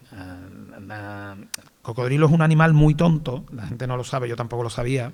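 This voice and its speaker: Audible room echo carries a man's medium-pitched voice with a strong Andalusian accent and ordinary pitch variation. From Andalusia, Spain (small town near Seville). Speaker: film director and screenwriter. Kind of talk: interview on stage.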